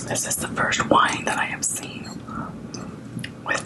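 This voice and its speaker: Through noticeable background noise, a whispered voice comes across. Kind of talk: ASMR eating and whispered talk to camera.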